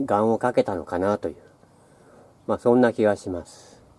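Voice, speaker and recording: A relaxed man at a moderate pace, with a dark, mellow tone. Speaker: local history walker. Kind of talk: casual walking-tour narration to camera. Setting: outdoors. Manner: hesitant, relaxed, many fillers. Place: street. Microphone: phone near.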